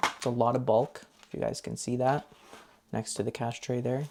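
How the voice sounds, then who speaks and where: Here is a man with a medium-pitched voice. He speaks at a moderate pace. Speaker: budgeting YouTuber. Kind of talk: casual tutorial. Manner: soft-spoken; counting aloud.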